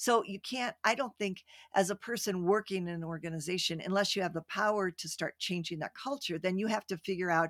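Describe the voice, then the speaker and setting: A woman with an unremarkable speaking voice, fairly low pitch and ordinary pitch variation, at a fairly quick pace in a dry, close sound with no echo. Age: 60s. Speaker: retired executive and author. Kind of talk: casual interview chat. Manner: playful, warm.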